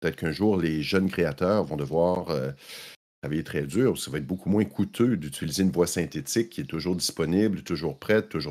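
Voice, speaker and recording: The voice carries vocal fry and ordinary pitch variation at a fairly quick pace. The recording is very clean, with a silent background. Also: man. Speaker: tech journalist. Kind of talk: casual chat.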